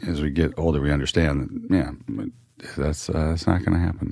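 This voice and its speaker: A man talks with a very deep, low pitch and vocal fry, keeping his intonation fairly even. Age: 50s. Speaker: podcast host. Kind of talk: interview. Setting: radio studio.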